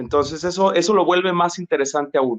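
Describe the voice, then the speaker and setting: A man with a plain, everyday voice talks at a moderate pace with ordinary pitch variation, the sound dry and close with no echo. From Mexico, Jalisco (Tuxpan), moved to Monterrey at 12. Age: 30s. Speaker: psychologist, labor relations specialist. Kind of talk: interview conversation. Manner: many fillers and repetitions.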